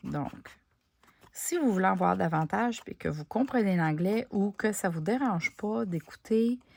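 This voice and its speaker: A woman with a Quebec accent speaks at a fairly slow pace. The recording is very clean, with a silent background. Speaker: crafting YouTuber. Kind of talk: craft tutorial; casual chat to viewers. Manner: casual, conversational with hesitations.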